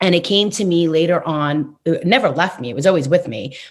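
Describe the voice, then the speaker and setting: In a New York accent, a woman with a very deep, low pitch speaks at a moderate pace on a very clean recording with a silent background. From New York City, Queens. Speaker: numerologist. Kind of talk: interview.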